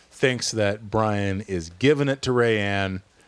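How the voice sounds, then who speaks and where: A man talks in a normal speaking voice. It is fairly low in pitch, with ordinary pitch variation. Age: 40s. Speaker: podcast host. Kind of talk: casual chat.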